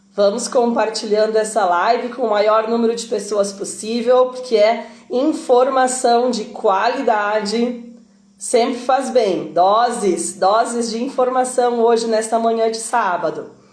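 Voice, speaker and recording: A woman's fairly high voice at a fairly slow pace, fairly even intonation, and audible room echo. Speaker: swimming teacher and live-stream interviewer. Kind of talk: live-stream hosting. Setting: online live stream.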